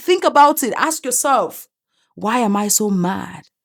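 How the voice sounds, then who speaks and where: A woman with an African accent and lively intonation. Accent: African accent, self-described. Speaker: commentary YouTuber. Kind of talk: opinion monologue. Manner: animated, emphatic.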